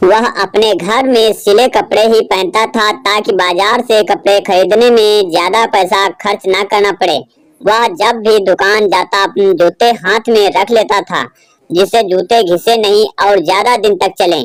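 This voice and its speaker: The voice sounds female, with a medium pitch for a woman. She speaks at a moderate pace. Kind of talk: moral story narration. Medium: read story. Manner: steady, explanatory.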